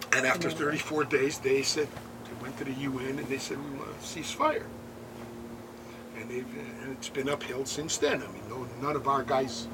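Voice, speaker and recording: Noticeable background noise and audible room echo surround a man with an American accent speaking at medium pitch. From United States. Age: 70s. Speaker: war veteran and kibbutz tour guide. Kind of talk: guided tour talk to visitors.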